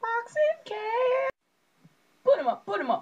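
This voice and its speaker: A put-on character voice sits at an extremely high pitch and sounds squeaky. It moves at a fairly slow pace. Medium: solo performance. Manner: silly, overacted.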